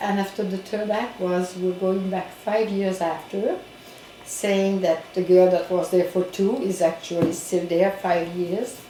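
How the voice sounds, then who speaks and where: A woman with a Quebec accent, monotone, flat intonation and a very slow pace, amid noticeable background noise and audible room echo. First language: French. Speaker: community organization director. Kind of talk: interview. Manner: halting.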